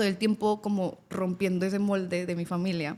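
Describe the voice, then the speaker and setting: In a central Mexican accent, the speaker holds a monotone, flat intonation at a moderate pace. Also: woman. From central Mexico (Querétaro/Guanajuato, rural). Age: 30s. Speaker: lawyer and migrant telling her story. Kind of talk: casual interview chat.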